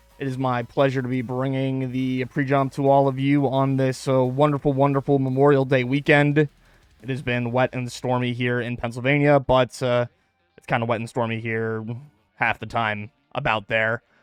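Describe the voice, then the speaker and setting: A man speaks in a monotone, flat intonation with big swings in loudness. The sound is dry and close with no echo. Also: medium pitch for a man, moderate pace. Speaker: esports podcast host. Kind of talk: live-streamed podcast monologue. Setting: home, streamed live on Twitch.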